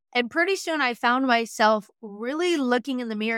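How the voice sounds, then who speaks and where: An energetic, bright and sharp tone at a fairly quick pace, dry and close with no echo, in a very clean recording with a silent background. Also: woman. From Western Montana, US. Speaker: business and marketing coach. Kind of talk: interview.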